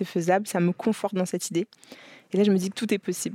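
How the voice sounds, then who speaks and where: In a very clean recording with a silent background, a woman speaks at a fairly low pitch with a dark, mellow tone. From France. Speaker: entrepreneur, leather goods brand founder. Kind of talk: interview, casual conversation. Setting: her office. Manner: lively.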